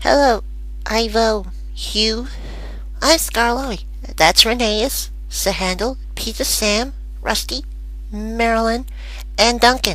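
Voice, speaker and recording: A put-on character voice at a fairly slow pace, broken by long, frequent pauses. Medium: audio drama.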